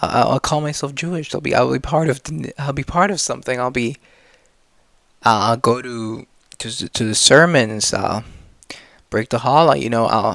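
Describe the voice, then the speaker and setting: A man with vocal fry and a medium pitch speaks at a moderate pace with ordinary pitch variation and long, frequent pauses. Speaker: vlogger. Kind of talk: personal monologue. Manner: halting.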